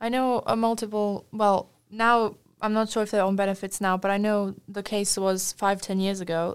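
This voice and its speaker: Hardly pausing, a woman talks at a moderate pace in a flat monotone. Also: medium pitch for a woman. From Wales, moved there at eight from abroad. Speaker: podcast co-host. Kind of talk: casual discussion.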